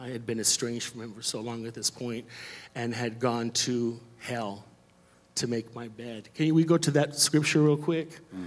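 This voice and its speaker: In a normal speaking voice, a man at medium pitch talks at a moderate pace with ordinary pitch variation and big swings in loudness. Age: 40s. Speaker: church member sharing testimony. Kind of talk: testimony. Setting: church stage with congregation.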